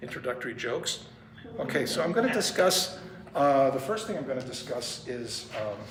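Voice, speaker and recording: Speech moves at a fairly quick pace amid noticeable background noise and audible room echo. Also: man. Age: 70s. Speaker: pianist and music professor. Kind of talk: lecture. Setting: music store presentation with audience. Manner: casual, joking.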